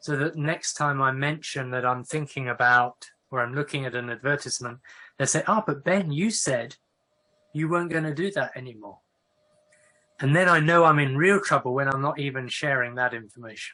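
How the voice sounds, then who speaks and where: With an English accent, a man speaks at a fairly high pitch in a bright, sharp tone with ordinary pitch variation against a quiet background. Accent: English accent, noticeable. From northern England. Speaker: professor of Quaker studies. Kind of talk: online talk with Q&A. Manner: conversational, with fillers and restarts.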